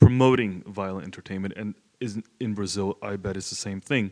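With an American accent, a man talks in an unremarkable speaking voice at a fairly low pitch with ordinary pitch variation. The recording is very clean, the background silent. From South Florida, US. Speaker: audience member. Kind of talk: audience question. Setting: stage with audience.

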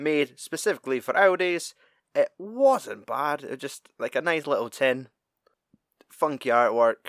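On a very clean recording with a silent background and a dry, close sound with no echo, a man in a plain, everyday voice speaks fairly slowly at a fairly high pitch with lively intonation. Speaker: podcast co-host. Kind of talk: casual banter.

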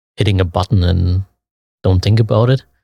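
A man with a German accent and a fairly low, somewhat breathy voice is heard dry and close with no echo. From Leipzig, Germany. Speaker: photographer. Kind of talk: casual interview. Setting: on location at event. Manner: halting, many fillers.

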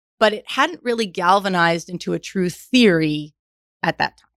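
This woman has an unremarkable speaking voice, talking at a moderate pace with lively intonation. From New York. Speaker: management consultant and executive. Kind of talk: interview.

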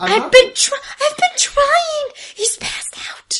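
An extremely high-pitched, raspy put-on character voice carries this clip. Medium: actual play. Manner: nervous, exasperated.

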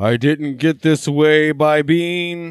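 A man talks at a fairly high pitch in a put-on character voice.

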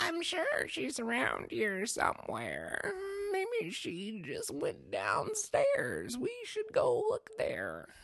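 A put-on character voice at an extremely high pitch, drawn out at a very slow pace. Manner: disturbing, eerie.

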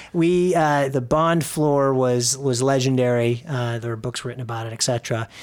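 This man has a normal speaking voice with an American accent, talking at a moderate pace with ordinary pitch variation and hardly any pauses. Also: medium pitch for a man. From US Midwest, Chicago suburbs. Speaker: real estate company president. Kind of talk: interview. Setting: office.

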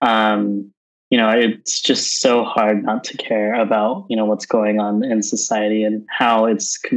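A normal speaking voice with an American accent, talking at a fairly slow pace. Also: man. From Southern California. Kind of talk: interview.

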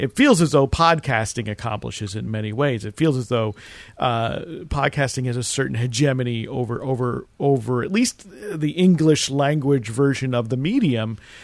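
At a moderate pace, a man talks in an unremarkable speaking voice of medium pitch with ordinary pitch variation. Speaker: radio show host. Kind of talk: casual interview chat.

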